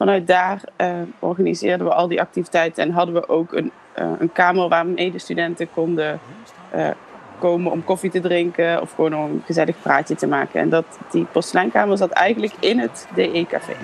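Music plays in the background as a woman with a fairly low pitch talks at a fairly quick pace with fairly even intonation. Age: 30s. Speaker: former pedagogy student. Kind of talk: personal reminiscence.

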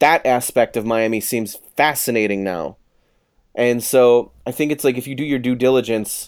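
Speaking at a moderate pace with an American accent, the man uses a normal speaking voice at medium pitch. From Chicago, South Side. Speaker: author. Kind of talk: casual interview. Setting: remote from his office.

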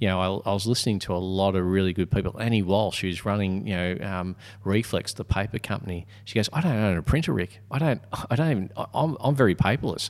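In a very clean recording with a silent background, a man speaks at a very fast pace. His fairly low pitch shows ordinary variation. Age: 50s. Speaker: podcast co-host and speaker/author. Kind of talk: casual conversational podcast.

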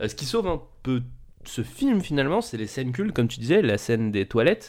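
This man has an ordinary speaking voice, pitched in the medium range with ordinary variation. He talks at a moderate pace. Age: 20s. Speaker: film podcast host. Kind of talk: casual chat.

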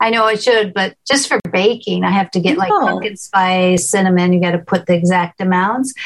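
A woman speaks at a fairly quick pace in an ordinary speaking voice of medium pitch. Her loudness stays very even, and her pitch varies in an ordinary way. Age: 60s. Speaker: cooking show host, visually impaired. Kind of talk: presentation Q&A on cooking.

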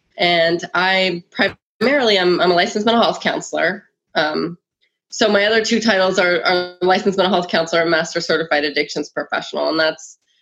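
With music in the background, a woman of fairly low pitch talks at a fairly quick pace and very even loudness. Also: ordinary pitch variation. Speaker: mental health counselor and yoga teacher. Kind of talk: interview.

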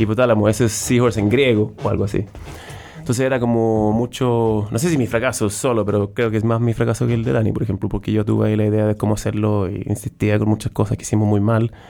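Very fast speech in a Swedish accent, dark and mellow in tone, with very even loudness and fairly even intonation. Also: man, fairly low pitch for a man. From southern Sweden. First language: Swedish (speaking Spanish). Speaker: startup founder and CEO. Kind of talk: interview. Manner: halting.

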